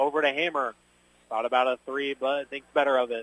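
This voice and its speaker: Fairly quick pace from a man speaking. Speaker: high school basketball radio play-by-play announcer. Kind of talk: live play-by-play basketball commentary, rattling off substitutions and shot calls. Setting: courtside broadcast at a high school gym. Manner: rapid-fire narration of each possession as it happens; heavy filler, frequent 'uh' hesitations.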